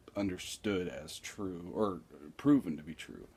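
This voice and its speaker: Very slowly, a man speaks in a very deep, low pitch with a dark, mellow tone. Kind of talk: casual vlog talk to camera. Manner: slow, with long pauses; hesitant, many filler words.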